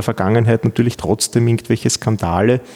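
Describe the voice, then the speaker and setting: A man's medium-pitched voice, dry and close with no echo, over noticeable background noise. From Austria, Vienna. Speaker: law professor. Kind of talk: interview. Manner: hesitant, many fillers and repetitions.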